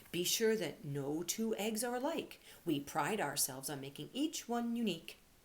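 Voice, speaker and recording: In a put-on character voice that sounds female, the speaker is gruff, with a middle pitch and a moderate pace. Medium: read story.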